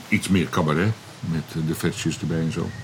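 Amid noticeable background noise, a man with a very deep, low pitch talks with ordinary pitch variation. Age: 60s. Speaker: comedian. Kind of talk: casual chat. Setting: outdoors.

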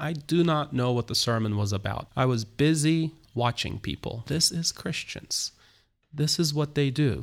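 Heard on a very clean recording with a silent background, a man with a Turkish accent speaks at a moderate pace and fairly high pitch, with ordinary pitch variation. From Turkey, Istanbul. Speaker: pastor. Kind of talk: interview. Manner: halting.

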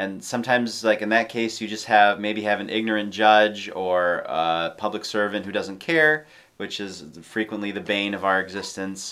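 A man's fairly low-pitched, an unremarkable speaking voice, at a moderate pace with hardly any pauses and ordinary pitch variation. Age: 30s. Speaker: podcast co-host. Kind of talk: casual interview.

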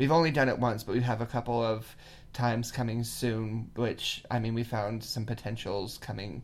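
A man talks with a Californian accent at a medium pitch. His intonation stays fairly even. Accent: Californian American. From California, near Yosemite. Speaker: podcast host. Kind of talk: casual chat.

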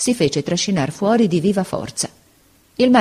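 Lively intonation in a natural reading voice

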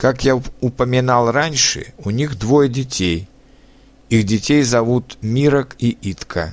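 Very slow in pace, a man speaks with a Czech accent. His pitch is medium, with ordinary variation. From Czech Republic. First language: Czech (speaking Russian). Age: 30s. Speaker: language learner. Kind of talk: reading aloud.

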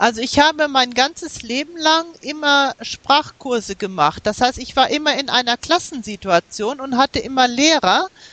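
Over noticeable background noise, a woman with a high pitch speaks at a moderate pace with lively intonation and hardly any pauses, the sound dry and close with no echo. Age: 50s. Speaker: language learner. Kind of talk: interview. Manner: hesitant, many fillers.

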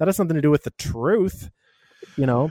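A man's ordinary speaking voice, fairly high in pitch with lively intonation, dry and close with no echo. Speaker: movie podcast co-host. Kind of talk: casual chat. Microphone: muffled at times.

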